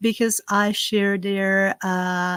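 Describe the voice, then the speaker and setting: A woman's medium-pitched voice at a very slow pace, with a dry, close sound and no echo. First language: Slovak. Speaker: herb farmer and spiritual content creator. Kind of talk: live stream ritual and casual chat. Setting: outdoors; live stream.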